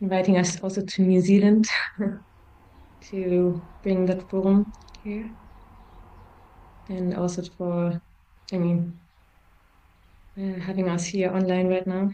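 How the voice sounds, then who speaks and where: A woman with a German accent, a dark, mellow tone at medium pitch, monotone, flat intonation, and long, frequent pauses. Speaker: forum trainer. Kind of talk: interview. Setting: video call. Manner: halting.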